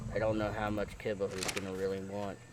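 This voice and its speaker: A man's fairly low voice in a flat monotone, with noticeable background noise. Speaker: gamer. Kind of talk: gameplay commentary. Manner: casual, hesitant.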